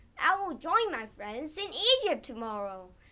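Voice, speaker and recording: A woman performs a put-on character voice at a high pitch. Her pitch swings very widely at a moderate pace. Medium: read story.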